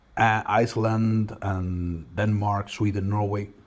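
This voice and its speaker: A somewhat breathy man with a Spanish accent, fairly low pitch and fairly even intonation. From Spain. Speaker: real estate company manager. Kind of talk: interview. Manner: hesitant, with fillers and repeats.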